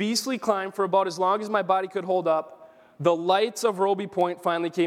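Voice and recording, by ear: Natural-voiced reading aloud, the intonation fairly even.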